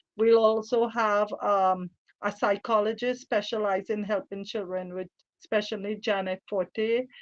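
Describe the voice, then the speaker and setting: A woman with a Trinidadian accent and a fairly high pitch speaks at a fairly slow pace in a monotone, flat intonation, her voice dry and close with no echo against a quiet background. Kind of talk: radio interview.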